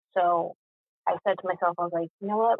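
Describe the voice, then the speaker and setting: With an American accent, a woman speaks at a medium pitch with fairly even intonation. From Boston. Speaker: podcast guest. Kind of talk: testimony. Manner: halting.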